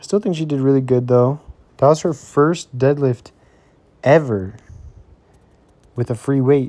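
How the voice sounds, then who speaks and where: A man's dark, mellow tone at a medium pitch. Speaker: fitness vlogger. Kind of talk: voiceover narration. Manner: monotone; casual, with many fillers.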